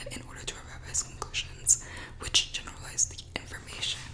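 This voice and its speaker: Noticeable noise sits in the background. Someone whispers over it. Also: woman. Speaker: student. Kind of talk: reading of academic notes aloud in English. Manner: soft-spoken, quiet.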